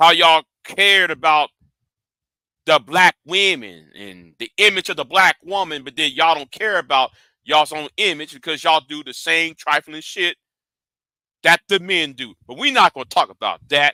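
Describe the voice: Bright and sharp in tone, a man's fairly high voice moves at a moderate pace with ordinary pitch variation. The sound is dry and close, with no echo.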